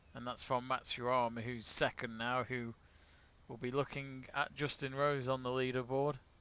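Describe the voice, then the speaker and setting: In an English accent, a man with a bright, sharp tone and medium pitch speaks in a monotone, flat intonation. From England. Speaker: sports watch-along host. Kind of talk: live watch-along commentary and chat. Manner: casual.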